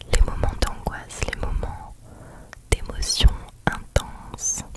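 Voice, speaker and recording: A woman whispers at a very slow pace in a calm tone. Noticeable background noise runs underneath. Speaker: ASMR creator. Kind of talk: ASMR reassurance talk. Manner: whispered, soft, calm, slow.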